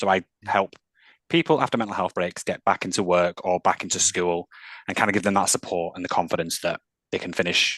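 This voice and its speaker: A man with a Mancunian accent speaks at a fairly quick pace in a very deep, low pitch and a monotone, flat intonation, recorded with a dry, close sound and no echo. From northern England, Manchester. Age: 30s. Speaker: mental health employment specialist. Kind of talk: interview.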